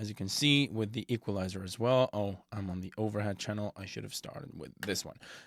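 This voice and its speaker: A man with a non-native accent speaks at a fairly low pitch with ordinary pitch variation, recorded with a dry, close sound and no echo. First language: not English. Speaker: music production tutor. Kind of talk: tutorial. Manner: halting, many fillers.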